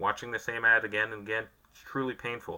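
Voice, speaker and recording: A man's bright, sharp tone at a very fast pace. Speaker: YouTuber reviewing tech. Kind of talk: unscripted casual review monologue. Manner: casual, hesitant fillers.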